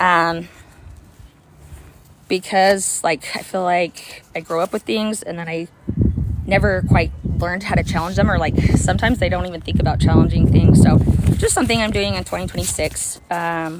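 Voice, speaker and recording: A woman speaks in an American accent with an energetic tone at a moderate pace, with noticeable background noise. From US suburbs. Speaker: activist vlogger. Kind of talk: casual monologue. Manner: energetic, rambling with fillers.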